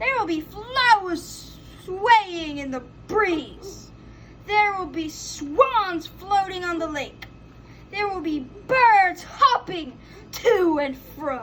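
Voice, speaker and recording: A woman does a put-on character voice at an extremely high pitch, with lively intonation at a very slow pace over clear background noise. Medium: read story.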